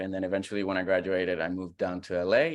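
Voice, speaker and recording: A man talks at a very fast pace with a Puerto Rican accent. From Puerto Rico. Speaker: comedian. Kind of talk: casual chat.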